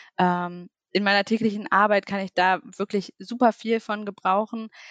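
A woman's medium-pitched voice comes through dry and close with no echo, on a very clean recording with a silent background. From Lower Saxony, Germany (near Duderstadt). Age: 20s. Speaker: social media manager. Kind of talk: interview.

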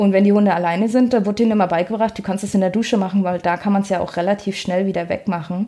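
A woman at medium pitch talks in a dark, mellow tone with monotone, flat intonation. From northern Germany, Rostock. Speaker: dog trainer. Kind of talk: casual chat.

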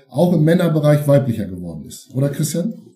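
The tone is dark and mellow, somewhat breathy. Pitch varies in an ordinary way at a fairly quick pace. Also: man. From Schleswig-Holstein (Eutin, Ostholstein). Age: 50s. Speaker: football historian and author. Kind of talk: interview.

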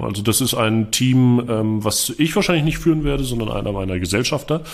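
Noticeable background noise sits behind a man speaking at a medium pitch and moderate pace with ordinary pitch variation. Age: 20s. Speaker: entrepreneur and marketing consultant. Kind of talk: interview. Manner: casual, many filler sounds.

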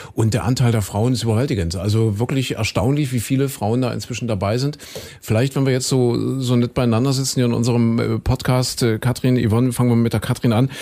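In a very clean recording with a silent background, a man talks at a fairly quick pace with medium pitch, a dark, mellow tone, fairly even intonation and very even loudness. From Saxony. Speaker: podcast host. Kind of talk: casual interview. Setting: studio.

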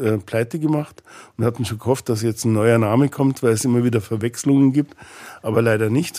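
A man talks at a fairly quick pace in a dark, mellow tone with fairly even intonation. The recording is very clean, with a silent background. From Bavaria, Ingolstadt. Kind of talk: interview conversation.

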